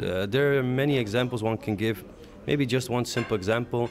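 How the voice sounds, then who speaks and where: Medium pitch, ordinary pitch variation and a moderate pace from a man. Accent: Middle Eastern. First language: Aramaic. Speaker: leader of an advocacy organization. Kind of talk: interview. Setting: conference break. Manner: hesitant, many fillers.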